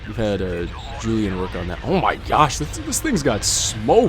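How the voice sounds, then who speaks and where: A man talks in a room with audible echo, and noticeable background noise runs throughout. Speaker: gaming YouTuber. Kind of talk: gameplay commentary. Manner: fast; animated.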